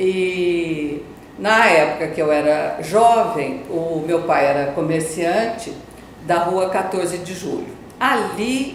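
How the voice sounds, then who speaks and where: A woman at a very slow pace and fairly low pitch, with ordinary pitch variation, audible room echo and noticeable background noise. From Campo Grande, Mato Grosso do Sul, Brazil. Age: 60s. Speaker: journalist and businesswoman. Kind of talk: interview testimony. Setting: TV studio. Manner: halting.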